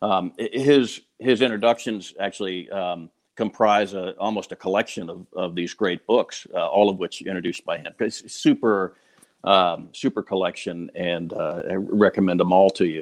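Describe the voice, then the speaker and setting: A man's fairly low voice, dry and close with no echo, against a quiet background. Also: ordinary pitch variation, moderate pace. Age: 50s. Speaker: falconer. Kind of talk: testimonial. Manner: halting, many repeated words.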